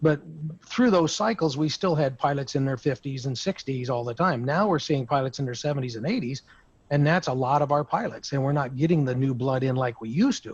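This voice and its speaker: Pitched fairly high, a man's voice shows ordinary pitch variation. He speaks at a fairly quick pace. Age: 60s. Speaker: insurance broker. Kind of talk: roundtable discussion. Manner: halting.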